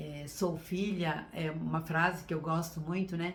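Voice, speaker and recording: Audible room echo surrounds a woman with a fairly low pitch. She speaks very slowly, her intonation fairly even. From Brazil, São Paulo state (Sorocaba). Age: 60s. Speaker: teacher and workshop speaker. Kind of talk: online workshop talk. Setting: live stream.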